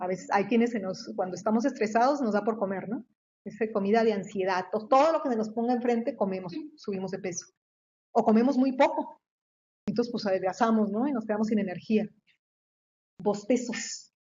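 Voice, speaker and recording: Somewhat breathy and fairly high-pitched, a woman talks fairly quickly but with long, frequent pauses, and her pitch varies in an ordinary way. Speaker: researcher and professor. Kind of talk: lecture. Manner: fast; halting, many repetitions.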